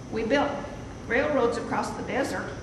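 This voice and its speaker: With noticeable background noise behind her, a woman talks at a moderate pace in a high pitch with ordinary pitch variation. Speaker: cowboy poet. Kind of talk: poetry reading. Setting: live room without microphone.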